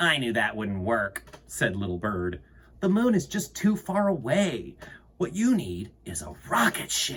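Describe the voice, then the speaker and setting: A man's put-on character voice at medium pitch, delivered at a fairly slow pace. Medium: read story.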